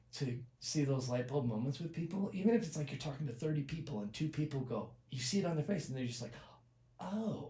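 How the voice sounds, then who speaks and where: Soft-spoken and somewhat breathy, a man talks at a very fast pace and a fairly high pitch, with a dark, mellow tone and lively intonation. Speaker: accident survivor. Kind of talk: casual chat. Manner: halting.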